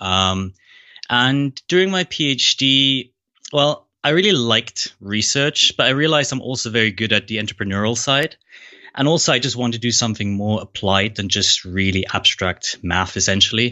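A man talks with a slight German accent at a medium pitch. His intonation is lively and his pace moderate. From Germany. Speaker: AI researcher and author. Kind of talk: interview conversation.

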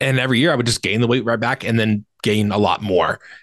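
Against a quiet background, a man with a fairly low pitch and an ordinary speaking voice talks with fairly even intonation, the sound dry and close with no echo. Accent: American. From Virginia, US. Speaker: online personal trainer and nutrition coach. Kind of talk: casual interview chat.

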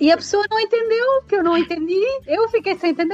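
A woman with a European Portuguese accent at a fairly quick pace, dry and close with no echo, music playing behind her. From Portugal. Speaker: guest living abroad. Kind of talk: casual interview.

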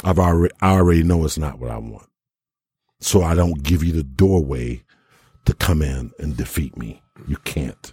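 The voice is somewhat breathy and dark, mellow in tone, keeping a moderate pace with ordinary pitch variation and long, frequent pauses. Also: man, very deep, low pitch for a man. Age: 40s. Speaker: podcast host. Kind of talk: casual chat.

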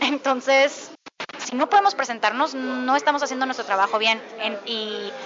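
Her voice sits high for a woman, moving with ordinary pitch variation. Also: moderate pace. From Mexico. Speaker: actress and voice actor. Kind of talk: interview. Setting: bakery café.

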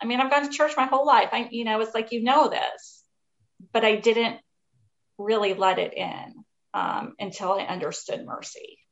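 Her pitch fairly high with ordinary variation, a woman with a normal speaking voice keeps a moderate pace. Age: 40s. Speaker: author. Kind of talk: interview.

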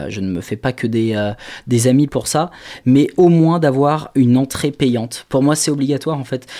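A plain, everyday voice from a man at a medium pitch, with ordinary pitch variation and a moderate pace. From Maine-et-Loire, western France. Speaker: concert organiser. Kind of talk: radio interview.

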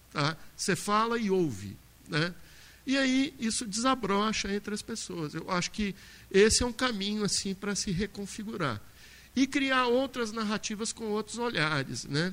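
Bright, sharp tone with lively intonation at a fairly slow pace, in a very clean recording with a silent background. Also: man, high pitch for a man. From Minas Gerais, Brazil (Brumadinho). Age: 50s. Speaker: university professor, panel moderator. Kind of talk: panel discussion.

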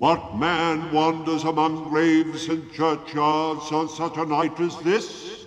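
Putting on a loud character voice, a man speaks at a fairly high pitch and a fairly slow pace with hardly any pauses, over light background noise. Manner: stern, loud.

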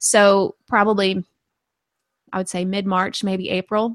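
A medium-pitched woman's voice in a Southern US accent, dry and close with no echo, on a very clean recording with a silent background. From rural Arkansas. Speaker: gardening podcaster and blogger. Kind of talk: casual interview.

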